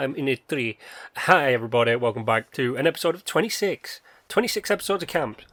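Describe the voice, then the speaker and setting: With a British accent, a man with a fairly high voice speaks very fast, swinging widely in pitch and loudness, on a very clean recording with a silent background and a dry, close sound with no echo. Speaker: gaming youtuber. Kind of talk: casual commentary.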